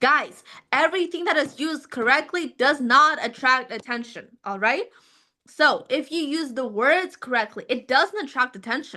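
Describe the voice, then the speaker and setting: A woman's high, raised and projected voice, bright and sharp in tone, with lively intonation at a moderate pace over a quiet background. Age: young. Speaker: IELTS teacher. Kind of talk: online lecture. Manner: animated.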